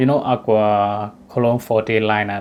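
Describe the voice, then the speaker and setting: Music plays in the background as a man with a Burmese accent speaks at a moderate pace. His pitch is medium and his intonation fairly even. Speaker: fragrance reviewer. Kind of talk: product review. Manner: casual, hesitant with fillers.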